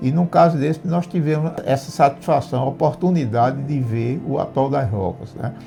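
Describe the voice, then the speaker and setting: Music plays in the background. A man with a fairly high pitch speaks at a moderate pace. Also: ordinary pitch variation. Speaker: retired sanitation engineer. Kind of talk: storytelling interview answer. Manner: hesitant, repeats words.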